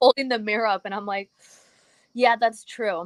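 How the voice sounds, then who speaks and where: On a very clean recording with a silent background, a woman speaks with a slight Cuban accent at medium pitch. The sound is dry and close with no echo. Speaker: music commentator. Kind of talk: casual chat.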